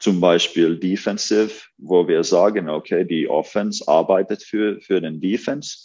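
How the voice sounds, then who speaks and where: Speaking with a Finnish accent, a man goes at a very slow pace. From Finland. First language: Finnish (speaking German). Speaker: basketball coach. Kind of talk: interview. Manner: halting.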